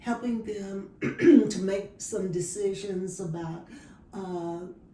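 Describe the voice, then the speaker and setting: With noticeable background noise, a woman speaks very slowly in an American accent with fairly even intonation. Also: medium pitch for a woman. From Dallas, Texas. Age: 70s. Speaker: retired social worker. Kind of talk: interview answer.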